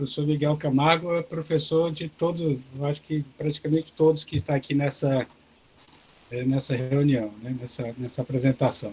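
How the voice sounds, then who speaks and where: Soft-spoken and fairly high in pitch, a man talks at a moderate pace with fairly even intonation. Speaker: professor of agronomy giving a webinar talk. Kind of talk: lecture. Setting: video call webinar.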